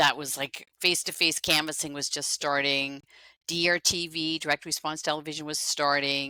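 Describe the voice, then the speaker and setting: A woman with a Dutch accent speaks at a moderate pace with monotone, flat intonation and a very deep, low pitch in a bright, sharp tone, captured in a very clean recording with a silent background and a dry, close sound with no echo. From Netherlands. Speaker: fundraising consultant. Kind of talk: interview.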